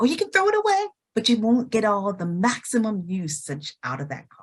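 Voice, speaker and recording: With very wide pitch swings, a woman talks at a moderate pace in a fairly high, somewhat breathy voice. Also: big swings in loudness. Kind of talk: testimonial conversation.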